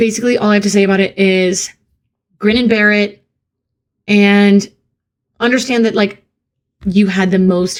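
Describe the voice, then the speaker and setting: A woman speaks at medium pitch and a moderate pace. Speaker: streamer answering viewer questions. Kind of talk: casual live Q&A stream. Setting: live stream. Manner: halting.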